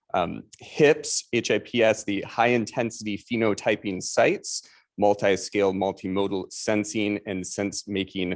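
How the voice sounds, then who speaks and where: Against a quiet background, the speaker moves along at a fairly slow pace. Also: man. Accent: Chicago. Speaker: statistics professor, seminar moderator. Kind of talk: seminar introduction.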